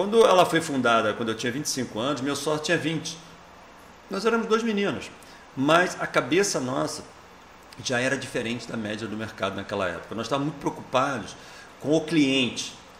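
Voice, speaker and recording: Amid noticeable background noise, a man with a fairly high pitch speaks at a fairly quick pace, his pitch swinging very widely, with long, frequent pauses. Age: 60s. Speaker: software company founder and president. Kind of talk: interview. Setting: event, convention coverage.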